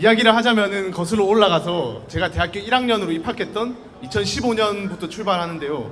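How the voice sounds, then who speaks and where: Amid noticeable background noise and audible room echo, a man with a Busan accent talks at a fairly quick pace and a high pitch, his intonation lively. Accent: Busan dialect (Gyeongsang), noticeable. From South Korea, Busan. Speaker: university student speaker. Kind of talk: public talk to student audience. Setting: outdoor campus busking stage with audience. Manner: casual, conversational.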